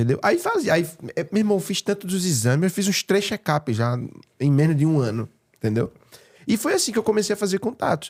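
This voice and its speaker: A man with a Pernambuco accent, animated in tone and high in pitch, with very wide pitch swings at a fairly quick pace, in a dry, close sound with no echo. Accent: Pernambuco accent, noticed by others. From Pernambuco, northeast Brazil. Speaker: real estate broker and speaker. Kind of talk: podcast interview.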